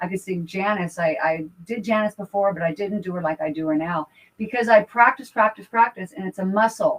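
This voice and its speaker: A woman at medium pitch, fairly quick with hardly any pauses, ordinary pitch variation, in a dry, close sound with no echo. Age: 60s. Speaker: folk singer. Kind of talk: casual radio interview.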